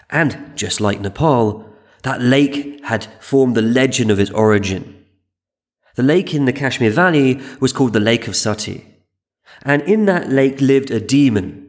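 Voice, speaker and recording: An unremarkable speaking voice from a man, medium in pitch, with ordinary pitch variation at a moderate pace. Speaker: podcast host and history narrator. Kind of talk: scripted history documentary narration, storytelling. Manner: measured, wry, dryly humorous; calm, steady, explanatory.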